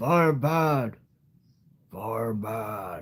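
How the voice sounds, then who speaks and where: A raspy, put-on character voice. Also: man. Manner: simple, grunting.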